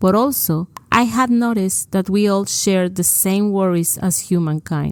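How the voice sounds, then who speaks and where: A woman with a Mexican accent speaks at medium pitch and a fairly slow pace with fairly even intonation, in a very clean, dry, close recording with no echo and a silent background. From Mexico. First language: Spanish. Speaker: podcast co-host. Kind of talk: scripted podcast narration.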